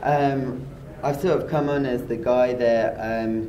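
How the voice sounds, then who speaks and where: A man talks at a very slow pace with fairly even intonation. Noticeable background noise and audible room echo fill the recording. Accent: British. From UK. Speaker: SEO expert, site director. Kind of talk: interview. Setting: conference.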